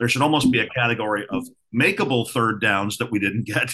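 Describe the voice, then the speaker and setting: A bright, sharp tone at a moderate pace, with an American accent. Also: man. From Ohio. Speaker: podcast co-host. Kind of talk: casual chat.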